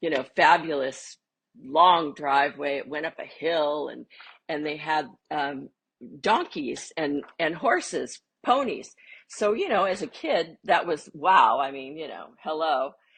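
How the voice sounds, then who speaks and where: With a very deep, low pitch, a woman speaks at a fairly slow pace, showing ordinary pitch variation and big swings in loudness. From US West Coast, San Fernando Valley, California. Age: 60s. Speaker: interview guest, film star's granddaughter. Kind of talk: casual interview chat. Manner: halting, many fillers and restarts.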